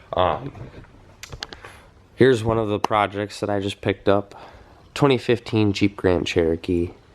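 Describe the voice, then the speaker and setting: With long, frequent pauses, a man speaks in a fairly low pitch against noticeable background noise. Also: ordinary pitch variation, moderate pace. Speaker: car flipper, channel owner. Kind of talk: casual vlog walkthrough. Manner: hesitant, many fillers.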